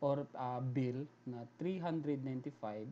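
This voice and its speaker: Medium in pitch with ordinary variation, this man's voice has a dark, mellow tone. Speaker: programming tutorial YouTuber. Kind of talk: screen-recorded coding tutorial. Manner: hesitant, many fillers.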